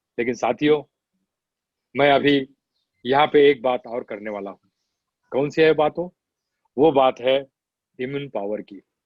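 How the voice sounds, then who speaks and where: Pausing long and often, a man with medium pitch and ordinary pitch variation speaks with big swings in loudness. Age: 60s. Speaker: doctor. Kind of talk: health advice talk.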